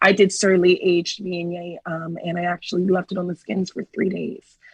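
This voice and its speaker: With a Washington DC accent, a woman speaks in a fairly low, somewhat breathy voice and flat, monotone intonation, her loudness swinging widely in a dry, close sound with no echo. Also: moderate pace. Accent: very American, DC. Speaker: winemaker. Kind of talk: interview.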